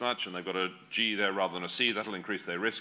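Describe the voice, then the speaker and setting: Speaking very fast with an Australian accent, a man has a bright, sharp tone. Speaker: genetics professor. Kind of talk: lecture.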